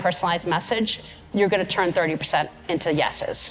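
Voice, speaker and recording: A woman talking at a very fast pace against noticeable background noise. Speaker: keynote speaker. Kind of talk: conference keynote. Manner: energetic.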